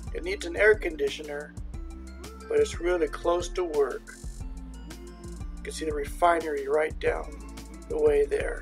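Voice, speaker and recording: A man at a moderate pace with long, frequent pauses, faint music in the background. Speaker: traveler vlogger. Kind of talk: casual vlog chat. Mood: joking, deadpan humor. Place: open country. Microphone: phone near.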